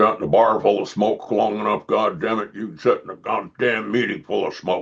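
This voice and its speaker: A man uses a raspy, put-on character voice at medium pitch. He goes at a fairly quick pace with big swings in loudness. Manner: gruff, blunt.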